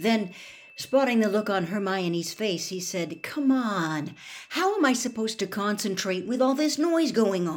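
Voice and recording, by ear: Lively intonation runs through the speaker reading aloud in a natural voice.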